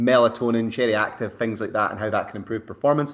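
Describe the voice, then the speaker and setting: This man speaks with a Scottish accent. His intonation stays fairly even. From Scotland. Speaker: sports science researcher and bodybuilding coach. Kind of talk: podcast interview.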